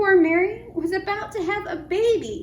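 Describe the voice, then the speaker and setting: Put-on character voice from a woman, extremely high in pitch, at a moderate pace over clear background noise. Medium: read story. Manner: clucking.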